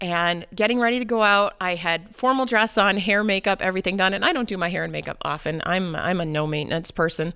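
A woman talks very fast with an American accent and a bright, sharp tone. Her pitch varies in an ordinary way, and the recording is very clean with a silent background. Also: medium pitch for a woman. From New Hampshire, US. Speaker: mother and runner. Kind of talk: interview.

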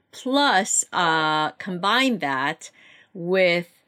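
A woman with a Korean accent at a fairly low pitch and very slow pace, on a very clean recording with a silent background. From South Korea (Seoul), raised from age 11 in Baltimore area. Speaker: novelist. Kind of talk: interview.

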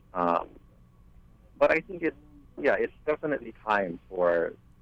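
Speaking at a fairly slow pace, a man has a Hawaiian accent. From Maui, Hawaii. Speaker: musician. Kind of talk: radio roundtable discussion. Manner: halting.

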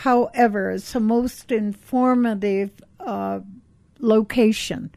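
In an American accent, a woman speaks very slowly in a dark, mellow tone, fairly high-pitched, with fairly even intonation. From California. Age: 80s. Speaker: radio host. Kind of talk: casual radio show chat. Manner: warm, chatty.

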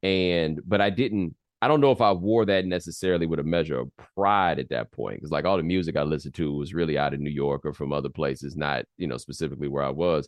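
With a slight Southern US accent, a man speaks very fast in a very deep, low pitch with ordinary pitch variation. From US South, Atlanta and Houston. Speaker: sports TV host and commentator. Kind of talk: interview conversation.

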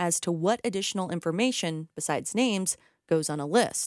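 A normal speaking voice from a woman, lively in intonation and moderate in pace, with a dry, close sound with no echo and a very clean recording over a silent background. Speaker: radio reporter. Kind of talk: news reading.

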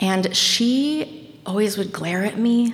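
In an American accent, a woman speaks with ordinary pitch variation. Noticeable background noise and audible room echo surround her voice. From Maine, Washington County and Bangor. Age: 30s. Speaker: high school teacher and storyteller. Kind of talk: casual interview; live storytelling. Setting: stage with audience.

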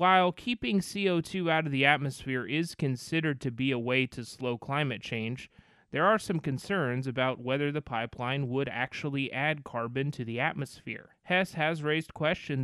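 An ordinary speaking voice from a man, fairly high in pitch, with ordinary pitch variation and a moderate pace against a quiet background. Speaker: radio reporter. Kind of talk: news reporting.

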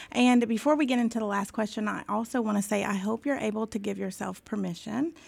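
The delivery keeps a moderate pace in a normal speaking voice. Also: woman, very clean recording, silent background. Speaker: podcast co-host. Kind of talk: casual interview chat. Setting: podcast recording.

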